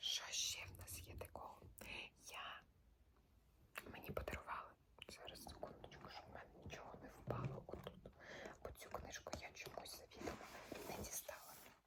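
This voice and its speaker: A woman whispers at a moderate pace, with long, frequent pauses. Noticeable background noise sits behind her. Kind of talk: ASMR casual talk to camera about books. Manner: whispered, soft-spoken.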